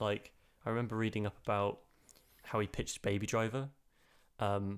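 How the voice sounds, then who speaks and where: Recorded very cleanly against a silent background, a man with a British accent talks at a moderate pace in a fairly low, monotone, flat voice. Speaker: film podcast co-host. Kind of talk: casual chat.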